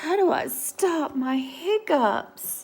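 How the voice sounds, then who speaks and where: A woman uses a put-on character voice. Her pitch is high. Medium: read story.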